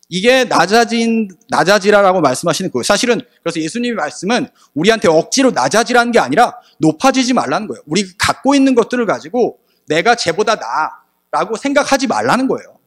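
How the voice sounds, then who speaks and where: Over music in the background, a man speaks very fast at a high pitch with lively intonation. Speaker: preacher. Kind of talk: sermon. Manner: animated.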